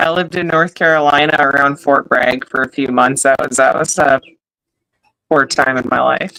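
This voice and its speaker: A woman speaks with a slight Upper Midwest accent in a very deep, low voice. Her tone is bright and sharp, with fairly even intonation. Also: moderate pace. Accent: slight Upper Midwest accent, extended vowels. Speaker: podcast co-host. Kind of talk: casual chat.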